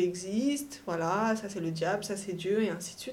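A woman at medium pitch with ordinary pitch variation, a fairly slow pace and audible room echo. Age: 20s. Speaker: young mother on maternity leave, start-up employee. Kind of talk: casual interview, personal testimony. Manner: lively, jokey.

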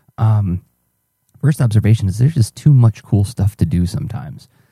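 A man talks quietly at a fairly quick pace, his somewhat breathy voice dark and mellow with lively intonation. The sound is dry and close, with no echo. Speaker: artist podcaster. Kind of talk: audio journal. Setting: home at night. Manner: fast.

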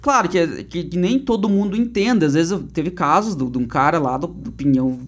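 A man's high-pitched voice with very wide pitch swings at a moderate pace. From Paraná, Brazil (Turvo, interior). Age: 30s. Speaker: comedian and state politician. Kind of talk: casual interview chat.

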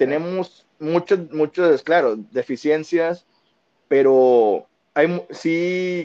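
A fairly high-pitched man with a dark, mellow tone and ordinary pitch variation, in dry, close sound with no echo. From Monterrey, Nuevo León, Mexico. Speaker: football fan, podcast regular. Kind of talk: casual chat.

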